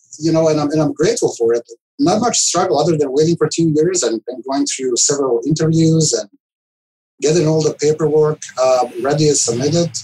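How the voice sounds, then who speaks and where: In a Serbian accent, a man speaks at a fairly high pitch. He moves at a fairly quick pace with ordinary pitch variation. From former Yugoslavia (Serbia). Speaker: IT director. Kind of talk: casual interview. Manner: halting.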